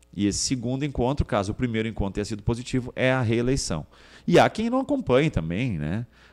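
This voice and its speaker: Very fast, lively speech from a man at medium pitch, on a very clean recording with a silent background. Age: 40s. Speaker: state politician. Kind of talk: interview.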